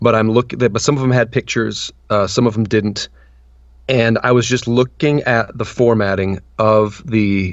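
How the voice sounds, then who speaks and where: A man with an unremarkable speaking voice talks at a medium pitch, with fairly even intonation and very even loudness. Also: moderate pace. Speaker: voice actor. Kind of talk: interview answer. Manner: casual, conversational.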